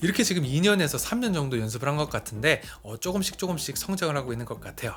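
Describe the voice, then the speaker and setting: Talking at a very fast pace, a man with a fairly high pitch for a man makes very wide swings in pitch. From Korea, part of childhood in US. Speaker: YouTuber, creator coach. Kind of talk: tutorial.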